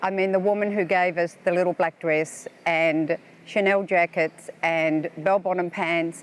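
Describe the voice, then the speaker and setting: Over noticeable background noise, a woman with a fairly low pitch speaks with an Australian accent. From Australia (Melbourne). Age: 70s. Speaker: tourist. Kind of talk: interview. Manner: casual with hesitations.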